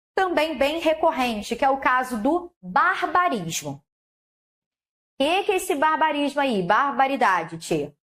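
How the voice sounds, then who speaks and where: With a Carioca accent, a woman speaks at a fairly slow pace in a high pitch that moves in very wide swings. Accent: carioca Brazilian Portuguese. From Rio de Janeiro, Brazil. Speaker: Portuguese language teacher. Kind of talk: online lecture. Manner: laughing at times.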